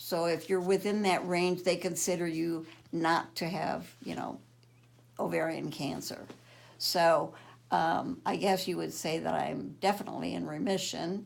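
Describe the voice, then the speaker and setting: A woman speaks fairly slowly, and audible room echo surrounds her words. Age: 70s. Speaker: cancer patient. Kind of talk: testimony.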